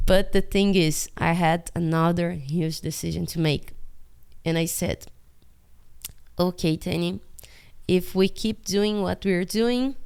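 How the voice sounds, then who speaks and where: A Portuguese accent at a fairly slow pace, with ordinary pitch variation and long, frequent pauses. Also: woman, fairly low pitch for a woman. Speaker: animator. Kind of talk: casual vlog monologue. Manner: halting.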